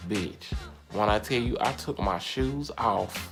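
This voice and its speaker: There is music in the background as a man speaks. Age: 20s. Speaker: YouTuber. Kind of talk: storytime, casual talk to camera. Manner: animated, comedic.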